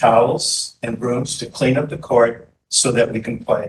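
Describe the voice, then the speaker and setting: A somewhat breathy man at a medium pitch, very slow in pace, with fairly even intonation. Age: 70s. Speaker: public commenter, pickleball player. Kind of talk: public comment at board meeting.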